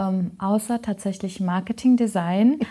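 At a very slow pace, a woman with a medium pitch, a dark, mellow tone and fairly even intonation sounds somewhat breathy on a very clean recording with a silent background. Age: 30s. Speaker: trainee in healthcare administration. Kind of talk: casual interview.

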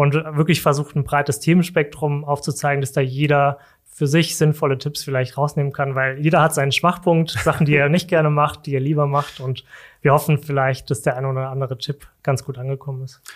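Speaking at a fairly quick pace, a man holds a monotone, flat intonation. His pitch is fairly high, and the recording is very clean with a silent background. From Germany, Saarland. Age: 30s. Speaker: corporate sustainability manager. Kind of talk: casual interview. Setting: studio.

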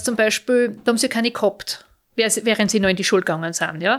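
A woman with an unremarkable speaking voice, fairly high in pitch with ordinary pitch variation, at a moderate pace, in a very clean recording with a silent background. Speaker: mother of Paralympic skiers, visually impaired. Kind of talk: interview.

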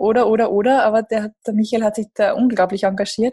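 With a dark, mellow tone and a somewhat breathy quality, a woman talks at a fairly quick pace in a fairly high pitch. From Lower Austria, near Krems. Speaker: startup managing director. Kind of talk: interview.

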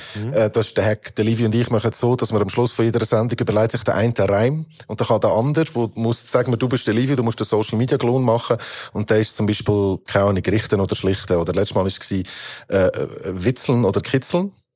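Very fast, a man talks at a medium pitch with ordinary pitch variation. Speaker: rapper. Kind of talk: casual chat.

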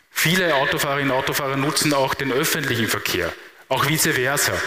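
A man's fairly high voice, with audible room echo and noticeable background noise. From Lower Austria, Mostviertel. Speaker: transport policy expert. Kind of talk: keynote talk. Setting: live event with audience.

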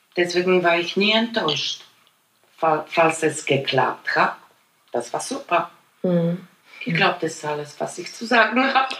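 A woman with a Polish accent, fairly low-pitched, with lively intonation, a fairly slow pace and long, frequent pauses. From Poland. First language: Polish (speaking German). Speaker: immigrant interviewee. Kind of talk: personal storytelling interview. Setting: at her home.

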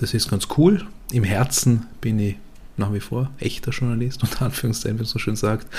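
Somewhat breathy at a moderate pace, a man speaks at a medium pitch with ordinary pitch variation. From Vorarlberg, western Austria. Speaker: podcast host, journalist. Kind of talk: casual chat.

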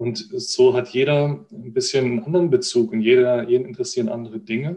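This man's voice sits at a medium pitch. It moves in very wide pitch swings. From Baden, near Freiburg (southwest Germany). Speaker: football data analyst. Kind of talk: interview. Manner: hesitant, many fillers.

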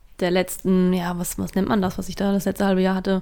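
This woman speaks at a medium pitch. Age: 20s. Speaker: office colleague of host. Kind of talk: casual chat.

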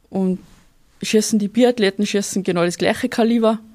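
A woman with a fairly high pitch and a dark, mellow tone speaks with ordinary pitch variation. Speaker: sport shooter and soldier. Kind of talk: interview.

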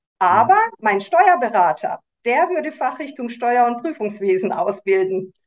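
Using a high pitch with very wide swings, a woman speaks at a fairly slow pace. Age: 50s. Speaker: tax advisor. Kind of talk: interview.

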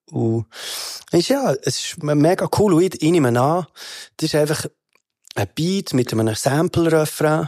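Speaking with a Bernese accent, a man uses a fairly high voice at a fairly slow pace with long, frequent pauses, on a very clean recording with a silent background. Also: dry, close sound with no echo. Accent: Bernese Swiss German. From Switzerland, Bern. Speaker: rapper. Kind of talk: casual chat. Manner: animated.

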